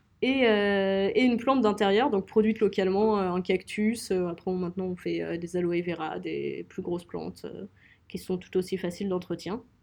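In a plain, everyday voice, a woman talks at a medium pitch and a fairly slow pace. Her intonation is fairly even. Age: 20s. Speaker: young entrepreneur, co-founder. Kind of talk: interview.

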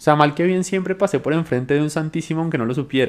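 Using lively intonation, a man with a plain, everyday voice speaks at a fairly high pitch. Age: 20s. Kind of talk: podcast interview testimony.

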